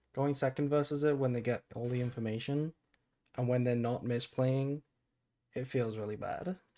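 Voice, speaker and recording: At a moderate pace, a man talks in a dark, mellow tone at a medium pitch with fairly even intonation. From Britain. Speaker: card game streamer.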